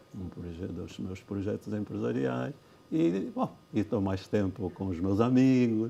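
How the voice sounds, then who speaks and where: A man talks at a fairly slow pace in a fairly low pitch. Background noise is noticeable behind him. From Angola (Cuito, Bié). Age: 70s. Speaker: former justice minister and lawyer. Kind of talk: TV interview. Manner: halting, many repetitions.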